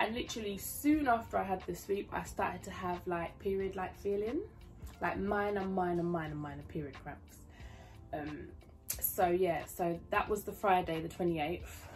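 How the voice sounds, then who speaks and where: Music plays in the background as a woman with a British accent talks at a moderate pace amid audible room echo. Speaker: YouTube vlogger, new mother. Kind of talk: casual vlog storytelling. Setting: home, filming with laptop. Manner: talking quietly.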